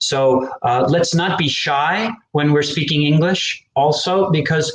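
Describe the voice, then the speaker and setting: In an American accent, an ordinary speaking voice moves at a fairly slow pace with lively intonation. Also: man. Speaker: English teacher. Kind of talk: live educational stream. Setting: live online stream.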